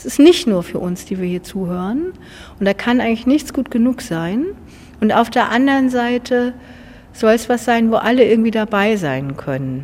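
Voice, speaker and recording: A woman with a fairly high pitch, very wide pitch swings, big swings in loudness and a moderate pace, over noticeable background noise. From Gadebusch, Mecklenburg, northern Germany. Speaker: church musician. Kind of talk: interview.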